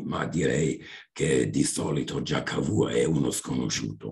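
A man speaks with a German accent. Vocal fry runs through his voice. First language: German (speaking Italian). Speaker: history professor. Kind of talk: seminar talk. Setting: video call.

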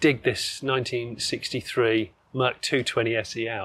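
A man speaks with an English accent. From England. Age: 40s. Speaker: classic car presenter; presenter. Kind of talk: casual chat. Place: street.

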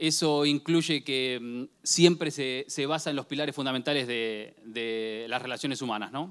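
A man talks at a moderate pace with a quiet background behind him. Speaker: conference presenter. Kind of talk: conference talk. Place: hall. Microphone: handheld.

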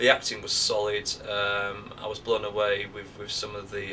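There is light background noise as a man talks with a Northern English accent. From Northern England. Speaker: actor. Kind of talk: interview answer. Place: home room. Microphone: camera far.

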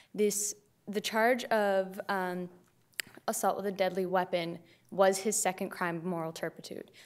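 Monotone, flat intonation from a woman at a fairly slow pace. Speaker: prosecutor. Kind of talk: appellate oral argument. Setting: courtroom. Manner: formal. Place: hall. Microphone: podium.

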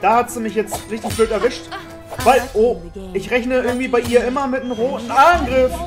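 Background music beneath speech of moderate speed. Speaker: let's play gamer. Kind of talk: casual gaming commentary.

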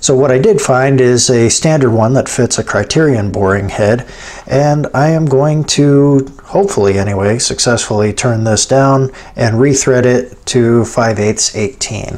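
A man at a fairly slow pace, with ordinary pitch variation and very even loudness. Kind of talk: tutorial. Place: workshop.

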